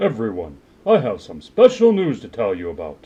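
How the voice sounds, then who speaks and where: A man's cartoonish character voice at medium pitch and moderate pace. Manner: formal, authoritative.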